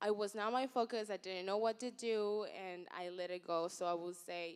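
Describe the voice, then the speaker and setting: A woman at a medium pitch, moderate pace and ordinary pitch variation, an ordinary speaking voice. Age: young. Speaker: social media influencer and entrepreneur. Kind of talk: panel talk.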